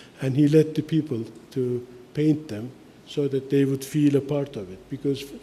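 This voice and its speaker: Somewhat breathy and dark, mellow in tone, a man's fairly high-pitched voice moves with fairly even intonation. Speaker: architect and lecturer. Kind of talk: lecture. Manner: halting, many fillers.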